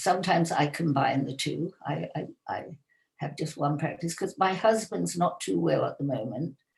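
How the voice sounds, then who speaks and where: A woman talks at a moderate pace with vocal fry. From England. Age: 80s+. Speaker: yoga teacher. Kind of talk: interview.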